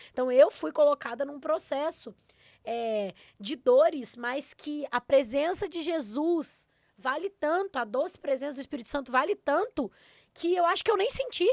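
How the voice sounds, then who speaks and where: With a Minas Gerais accent, a woman speaks at a moderate pace in an animated tone, her high pitch carrying lively intonation, in a dry, close sound with no echo on a very clean recording with a silent background. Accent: Minas Gerais (mineiro). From southern Minas Gerais, Brazil. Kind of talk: podcast interview.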